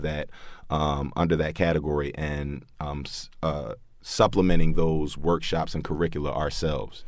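A man's very deep, low voice with vocal fry, fairly even intonation and a moderate pace. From Baltimore. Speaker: artist, activist and art teacher, former NFL player. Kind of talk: interview.

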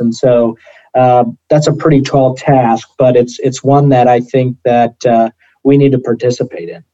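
Recorded dry and close with no echo, a man speaks at medium pitch and a moderate pace, his tone dark and mellow and his intonation fairly even. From US Midwest (northwest Iowa, rural). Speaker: pork industry association staffer. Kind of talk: interview.

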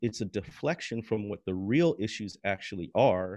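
With an American accent, a man talks in an ordinary speaking voice against a quiet background. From US Midwest. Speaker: author and historian of race and religion. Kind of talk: interview. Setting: podcast recording.

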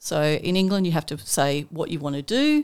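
A woman with an Australian accent speaks at a moderate pace in a very deep, low pitch. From Armidale, New South Wales, Australia. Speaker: scientist and environment centre director. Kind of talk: casual interview chat. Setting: studio.

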